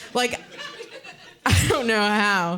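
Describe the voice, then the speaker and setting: Amid noticeable background noise, a woman speaks in a raised, projected voice with very wide pitch swings. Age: 30s. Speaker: stand-up comedian. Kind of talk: stand-up. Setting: stage with audience.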